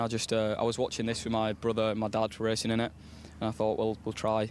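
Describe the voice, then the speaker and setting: Talking at a very fast pace, a man speaks in a Yorkshire accent. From West Yorkshire, England. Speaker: racing driver. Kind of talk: paddock interview.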